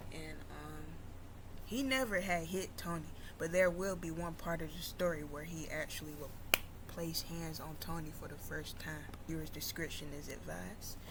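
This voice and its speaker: Someone soft-spoken talks with audible room echo around the voice. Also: woman, moderate pace. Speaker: YouTuber. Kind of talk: storytelling.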